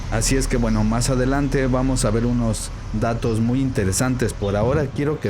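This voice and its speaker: A man speaks at a moderate pace with very even loudness. Noticeable background noise and audible room echo are present. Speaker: Bible student and video commentator. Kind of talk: vlog commentary while filming. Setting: inside a church. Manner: speaking quietly.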